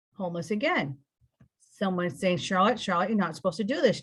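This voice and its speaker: A woman talks at a very fast pace with an American accent. Her medium-pitched voice is somewhat breathy. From California. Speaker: spiritual interview guest. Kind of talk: personal testimony. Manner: rambling, halting.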